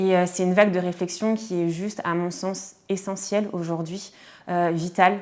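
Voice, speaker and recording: In a monotone with flat intonation, a woman talks at a moderate pace and a medium pitch. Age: 30s. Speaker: podcaster. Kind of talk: testimony. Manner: hesitant, many fillers.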